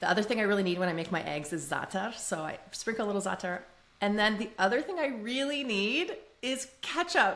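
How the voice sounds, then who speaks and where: With a Canadian accent, the speaker moves at a fairly quick pace with very wide pitch swings. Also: woman, medium pitch for a woman. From Canada, Toronto. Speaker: podcast guest. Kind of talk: casual interview chat.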